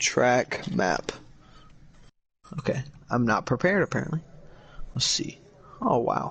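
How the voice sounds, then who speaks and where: A man speaks at medium pitch with vocal fry and lively intonation. His pace is fairly slow, with long, frequent pauses. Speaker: sim racing commentator. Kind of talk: live commentary. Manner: loud; animated.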